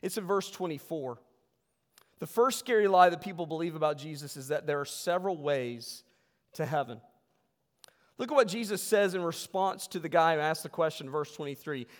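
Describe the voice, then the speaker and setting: Fairly quick speech from a man with a fairly high pitch and ordinary pitch variation, on a very clean recording with a silent background. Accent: American. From West Virginia. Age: 40s. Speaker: pastor. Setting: church. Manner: earnest, conversational pulpit delivery with emphatic rhetorical questions; self-correcting with frequent fillers and repeated words.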